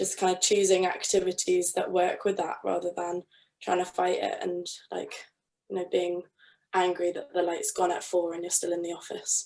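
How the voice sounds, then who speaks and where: A woman talks with a southern English accent. Her pace is moderate. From southern England. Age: 20s. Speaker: architect in training and artist. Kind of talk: interview. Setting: video call.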